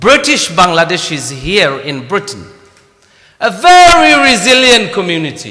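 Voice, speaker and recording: A man speaks in a raised, projected voice at a moderate pace, his pitch swinging very widely. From Bangladesh. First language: Bengali. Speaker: mayor. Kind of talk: formal speech at event.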